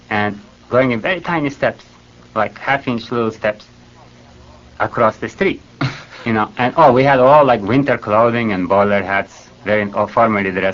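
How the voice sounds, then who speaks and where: Over noticeable background noise, a man talks at a moderate pace and medium pitch. His pitch varies in an ordinary way, with long, frequent pauses. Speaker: Fluxus founder. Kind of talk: interview answer.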